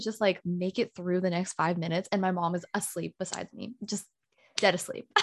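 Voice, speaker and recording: A woman in a normal speaking voice at a medium pitch and moderate pace, with a dry, close sound with no echo and a quiet background. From US. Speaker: podcast co-host. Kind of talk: casual chat.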